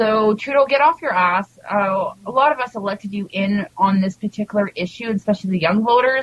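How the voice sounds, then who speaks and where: In a Canadian accent, a woman with an unremarkable speaking voice at medium pitch talks at a fairly quick pace with hardly any pauses and ordinary pitch variation, in a dry, close sound with no echo. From Canada. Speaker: cannabis advocate and segment contributor. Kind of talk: casual chat.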